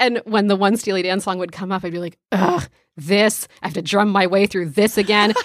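An ordinary speaking voice at a fairly quick pace with fairly even intonation. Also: woman, medium pitch for a woman. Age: 20s. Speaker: podcast co-host. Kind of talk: casual chat.

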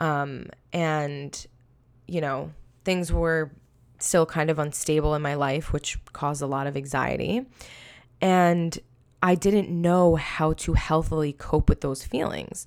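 On a very clean recording with a silent background, a woman with a very deep, low pitch and a New York accent speaks at a very slow pace, using fairly even intonation and long, frequent pauses. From Long Island, New York. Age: 20s. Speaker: podcast host. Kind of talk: solo personal testimony. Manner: casual, filler-heavy.

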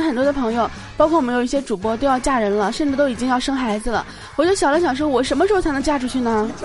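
A woman speaks very fast at a high pitch with ordinary pitch variation and an animated tone. Noticeable background noise can be heard. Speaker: podcast host. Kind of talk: casual solo chat show. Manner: animated, laughs often.

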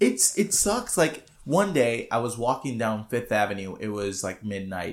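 A man at medium pitch, fairly slow pace and very wide swings in pitch. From Puerto Rico, Adjuntas. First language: Spanish. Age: 20s. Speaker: musician. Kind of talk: casual chat.

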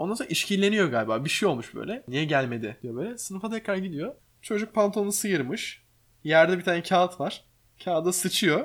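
At a fairly quick pace, a man speaks in a high pitch with very wide pitch swings. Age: 20s. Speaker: podcast host, streamer and interior architect. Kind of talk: casual chat. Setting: home living room.

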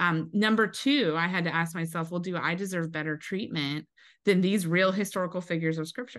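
A woman with a General American accent talks fairly quickly in a normal speaking voice, fairly low in pitch with ordinary pitch variation, over a quiet background. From US Pacific Northwest (Eastern Washington). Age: 40s. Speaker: pastor's wife. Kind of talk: testimony.

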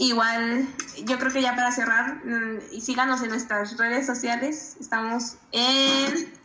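With noticeable background noise and audible room echo, a woman speaks at a high pitch with fairly even intonation. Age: 20s. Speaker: podcast co-host. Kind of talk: casual interview.

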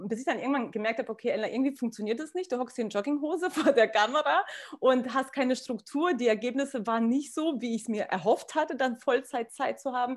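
A high-pitched woman at a very fast pace, with ordinary pitch variation. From Kazakhstan. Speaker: businesswoman in network marketing. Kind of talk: casual interview.

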